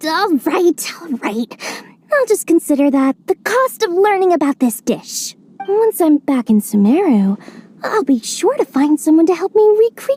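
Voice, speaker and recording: This put-on character voice sits at an extremely high pitch. It moves at a moderate pace with very wide pitch swings. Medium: video game. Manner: genial, calculating.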